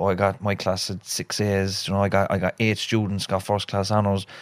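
A man talks in a Cork accent at a fairly low pitch. The recording is very clean, with a silent background. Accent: Cork Irish. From Cork, Ireland. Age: 30s. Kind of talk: casual conversational chat. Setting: studio with cameras.

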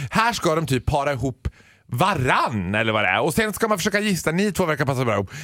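The speaker talks at a very fast pace in an animated, bright, sharp tone with vocal fry and very wide pitch swings. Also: man, fairly high pitch for a man, very even loudness. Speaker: radio comedian. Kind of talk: casual chat. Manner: loud.

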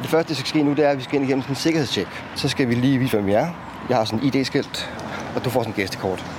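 A man talks at a very fast pace with a medium pitch and ordinary pitch variation. Noticeable background noise runs under his voice. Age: 40s. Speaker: prison transport officer. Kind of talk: casual chat.

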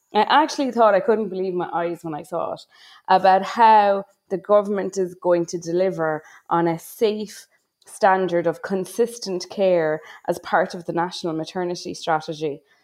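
Against a quiet background, a woman speaks at medium pitch. Her pace is moderate and her pitch varies in an ordinary way. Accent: Irish. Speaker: maternity care advocate. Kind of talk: casual discussion.

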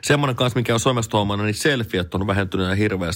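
Male speech, very cleanly recorded against a silent background. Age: 40s. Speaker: radio morning host. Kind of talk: personal audio diary monologue. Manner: casual, hesitant with filler words.

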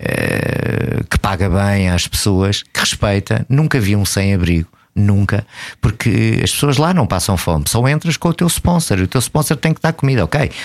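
With very wide pitch swings but very even loudness, a man with a fairly low pitch speaks at a moderate pace. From Portugal. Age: 50s. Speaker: traveller and photographer. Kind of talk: casual interview. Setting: radio studio.

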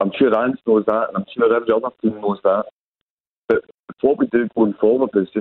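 With a fairly low pitch and fairly even intonation, a man speaks at a fairly quick pace in a dry, close sound with no echo.

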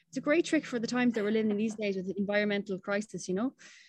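A woman speaks with an Irish accent. Her pitch is fairly high. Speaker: campaign founder and CEO. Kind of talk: radio interview.

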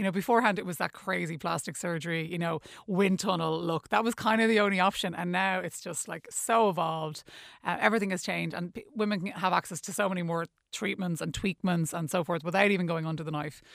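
A woman with an Irish accent at a very fast pace, fairly low in pitch with ordinary pitch variation, on a very clean recording with a silent background. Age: 40s. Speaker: beauty event co-founder. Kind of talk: radio interview. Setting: studio. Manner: hesitant, many fillers.

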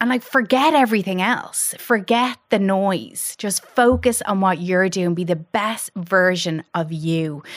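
In a very clean recording with a silent background, a woman talks at a fairly slow pace with few pauses. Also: medium pitch for a woman, ordinary pitch variation.

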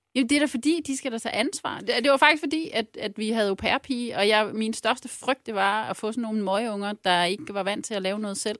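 A woman with an unremarkable speaking voice talks at a fairly quick pace with hardly any pauses, using a fairly high pitch and ordinary pitch variation, in a very clean recording with a silent background and a dry, close sound with no echo. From Jutland, Ørnhøj. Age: 40s. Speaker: former local politician turned consultant. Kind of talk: casual chat.

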